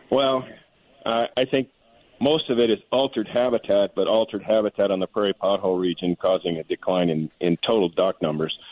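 A man with a normal speaking voice, medium in pitch, at a fairly quick pace, with ordinary pitch variation and very even loudness. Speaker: wildlife biologist. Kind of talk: radio panel discussion.

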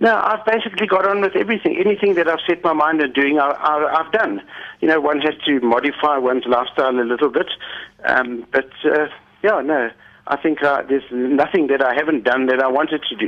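Using an unremarkable speaking voice, a man with a fairly high pitch talks at a fairly quick pace with lively intonation and very even loudness. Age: 60s. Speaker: diabetes patient and climber. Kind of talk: radio interview. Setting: phone call.

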